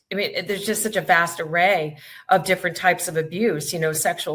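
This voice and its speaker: Speaking at a fairly quick pace, a woman with a fairly low pitch has a bright, sharp tone. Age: 50s. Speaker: podcast host. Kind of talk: casual chat.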